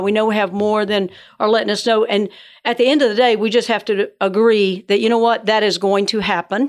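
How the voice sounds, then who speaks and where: With an American accent, a woman talks very fast and with fairly even intonation on a very clean recording with a silent background. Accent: Southern US (Georgia), joked as northern. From Georgia. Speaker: church ministry director. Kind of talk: casual interview. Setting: studio.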